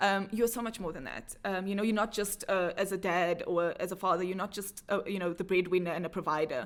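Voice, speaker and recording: At a very fast pace, a woman talks at a medium pitch with fairly even intonation. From South Africa, Cape Town. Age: 30s. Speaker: entrepreneur and speaker. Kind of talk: podcast interview.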